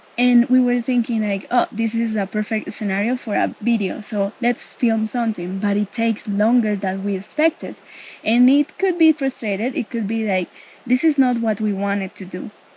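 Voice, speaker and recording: With a Spanish accent, a woman speaks at a moderate pace and a fairly high pitch, with ordinary pitch variation. There is noticeable background noise. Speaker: travel vlogger. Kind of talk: casual chat.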